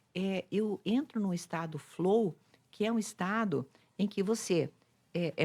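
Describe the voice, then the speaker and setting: A woman talks in a plain, everyday voice at a medium pitch with ordinary pitch variation, on a very clean recording with a silent background. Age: 60s. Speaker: psychologist and influencer. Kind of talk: casual chat.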